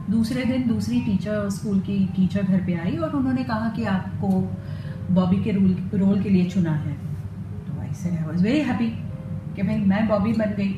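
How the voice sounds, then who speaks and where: Against noticeable background noise, a woman speaks at a medium pitch with very wide pitch swings. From Mumbai, India. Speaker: voice over artist. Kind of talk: interview answer.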